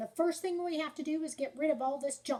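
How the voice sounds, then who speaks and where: In a put-on character voice pitched high, a woman talks at a fairly quick pace. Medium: read story.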